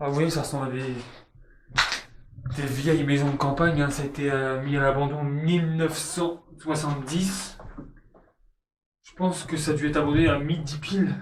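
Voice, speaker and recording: Speaking at a moderate pace in a flat monotone, a man with a fairly high pitch leaves long, frequent pauses, his loudness swinging widely amid audible room echo. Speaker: urban explorer vlogger. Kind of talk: casual vlog narration. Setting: outdoors.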